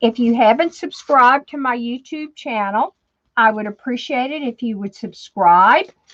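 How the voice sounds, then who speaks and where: A slight New Orleans accent at a moderate pace, with ordinary pitch variation, big swings in loudness and a dry, close sound with no echo. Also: woman. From New Orleans, Louisiana. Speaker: crafter. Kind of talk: tutorial. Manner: chatty, casual with fillers.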